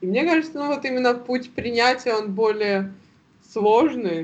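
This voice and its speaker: This woman speaks at a very slow pace. Her pitch variation is ordinary. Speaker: podcast co-host. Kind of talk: casual chat.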